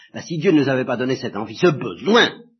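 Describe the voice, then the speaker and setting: The voice is fairly high in pitch. It belongs to a man. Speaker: priest giving religious instruction. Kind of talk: lecture. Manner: halting.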